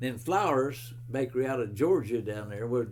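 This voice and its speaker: With an American accent, a man talks at a moderate pace and medium pitch, his somewhat breathy voice carrying audible room echo. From West Virginia. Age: 90s. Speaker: retired bread truck driver. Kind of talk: oral history interview. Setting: at his home. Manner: halting.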